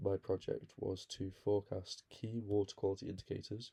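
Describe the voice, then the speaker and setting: A somewhat breathy man with a dark, mellow tone, fairly low pitch, fairly quick pace, and monotone, flat intonation. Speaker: student. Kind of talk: class presentation.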